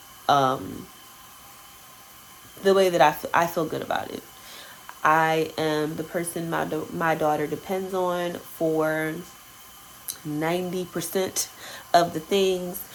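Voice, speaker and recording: A woman speaks very slowly in a fairly low voice, with long, frequent pauses. Noticeable background noise runs beneath her. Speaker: lifestyle vlogger and photographer. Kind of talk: casual vlog talk to camera. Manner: halting, many fillers.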